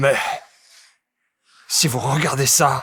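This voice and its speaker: A man puts on a character voice at a medium pitch for a man. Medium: fan dub. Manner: sly, conspiratorial.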